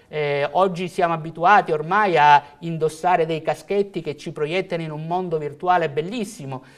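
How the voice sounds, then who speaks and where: Moderate pace with hardly any pauses, big swings in loudness and fairly even intonation, over a quiet background. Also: man, high pitch for a man. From Calabria, southern Italy. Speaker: IT company executive; guest. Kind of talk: TV interview; interview answer. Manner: halting with fillers. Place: studio. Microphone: lapel.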